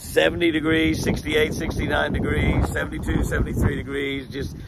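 Over loud background noise, a man speaks very slowly, the sound dry with no echo. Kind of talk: casual vlog chat. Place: open country. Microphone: phone near.

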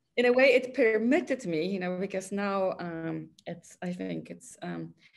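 Her voice sits fairly low, and the woman takes a fairly slow pace. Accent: Polish. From Poland. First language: Polish. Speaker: artist; guest. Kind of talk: interview conversation. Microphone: video call.

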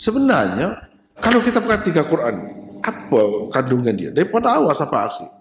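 A man at a fairly quick pace with very wide pitch swings, audible room echo and light background noise. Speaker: religious teacher. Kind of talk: lecture. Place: hall. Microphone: podium.

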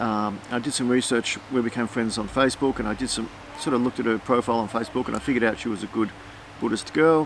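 A man with an Australian accent talks at a very fast pace with fairly even intonation. The sound is dry with no echo, over light background noise. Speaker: family vlogger and artist. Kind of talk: casual chat. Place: garden.

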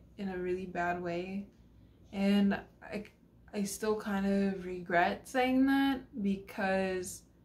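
There is light background noise as a woman speaks in a somewhat breathy voice. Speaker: vlogger telling a personal story. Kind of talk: casual vlog chat. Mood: somber, regretful. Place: home room. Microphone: phone near.

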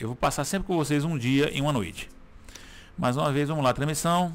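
Intonation rises and falls in a lively way as this man speaks. He goes at a very fast pace with a fairly high pitch. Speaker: gaming YouTuber. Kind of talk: gameplay commentary. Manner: casual, filler-heavy.

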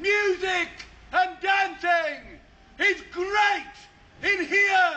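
At a very slow pace, a man uses a raised, projected voice with extremely high pitch and monotone, flat intonation. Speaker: town crier. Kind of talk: town crier proclamation. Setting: outdoors. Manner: loud, declamatory. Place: street.

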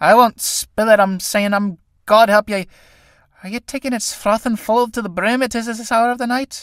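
A man puts on a shrill, high-pitched character voice. The sound is dry and close with no echo, on a very clean recording with a silent background. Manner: coaxing, cheeky.

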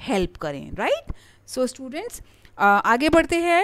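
A woman's voice with very wide pitch swings. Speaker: online lecturer for exam preparation. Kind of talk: lecture. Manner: hesitant, many filler sounds.

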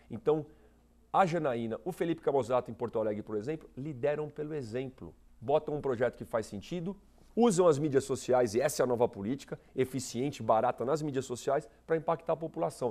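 A man's voice has a dark, mellow tone. He speaks at a fairly quick pace. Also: ordinary pitch variation. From Brazil, São Paulo region (São Bernardo do Campo); São Paulo region, Brazil. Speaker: political candidate; candidate. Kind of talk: TV interview. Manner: animated. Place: studio. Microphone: lapel.

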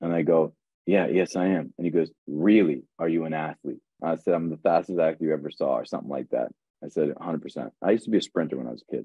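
Talking at a very fast pace, a man uses a very deep, low pitch with vocal fry and ordinary pitch variation. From US East Coast, partly raised in Ireland. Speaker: actor. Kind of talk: casual chat. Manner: animated.

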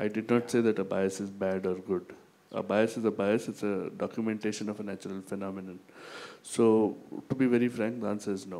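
A man's fairly low voice with a dark, mellow tone, fairly quick pace, fairly even intonation, and long, frequent pauses. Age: young. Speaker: business school professor. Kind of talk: lecture.

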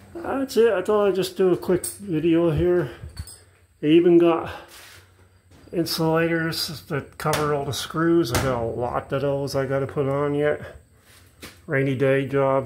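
A man talks at a fairly slow pace with ordinary pitch variation and long, frequent pauses. Noticeable background noise sits behind him. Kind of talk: casual vlog chat. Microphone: phone near.

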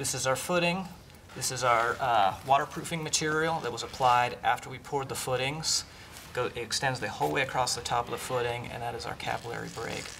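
A man at a fairly quick pace, ordinary pitch variation, light background noise. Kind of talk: tutorial. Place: open country.

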